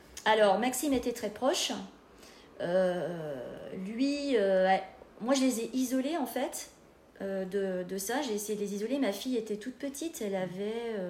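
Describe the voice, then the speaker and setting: Audible room echo surrounds a fairly slow delivery with long, frequent pauses and lively intonation. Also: woman, fairly high pitch for a woman. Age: 40s. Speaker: bereaved daughter sharing her experience. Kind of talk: podcast interview, personal testimony.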